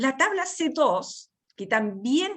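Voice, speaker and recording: A woman's voice swings very widely in pitch. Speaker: teacher. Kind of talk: lecture. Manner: fast.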